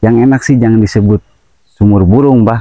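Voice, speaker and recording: A man's fairly low-pitched voice with a dark, mellow tone and ordinary pitch variation, in a dry, close sound with no echo. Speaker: spiritual practitioner, medium. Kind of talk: paranormal investigation talk.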